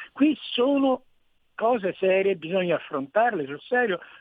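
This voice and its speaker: Very wide pitch swings run through what the man says. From Rome. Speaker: caller. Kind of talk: radio call-in. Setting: phone call.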